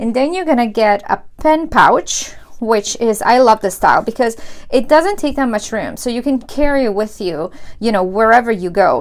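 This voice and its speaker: Her tone animated and her intonation lively, a woman with fairly high pitch speaks at a moderate pace. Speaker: planner youtuber. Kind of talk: unboxing tutorial. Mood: enthusiastic, warm.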